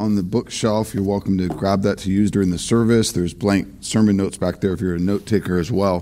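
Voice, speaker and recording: Speaking very rapidly, a man rushes through his words. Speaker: pastor. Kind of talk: sermon. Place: church.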